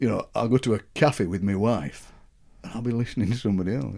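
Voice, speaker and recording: Vocal fry runs through a man's dark, mellow, medium-pitched voice as he talks at a very fast pace. The recording is very clean, with a silent background. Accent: strong Yorkshire. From Yorkshire, England. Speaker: poet and broadcaster. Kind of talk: interview answer. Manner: friendly, enthusiastic.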